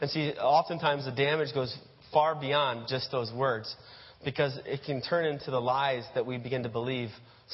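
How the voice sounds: Reading delivered in a natural voice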